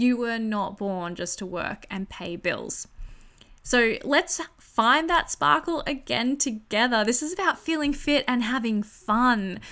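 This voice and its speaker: In an Australian accent, a woman talks in an animated, bright, sharp tone at a fairly high pitch, her voice making very wide pitch swings. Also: fairly slow pace, very clean recording, silent background. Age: 30s. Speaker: podcast host. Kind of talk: casual solo podcast monologue.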